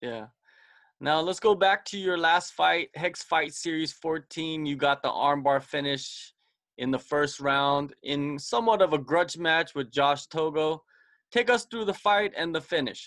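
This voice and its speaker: A man with a normal speaking voice talks at a fairly high pitch with ordinary pitch variation. His pace is fairly slow. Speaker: podcast host. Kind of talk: casual interview.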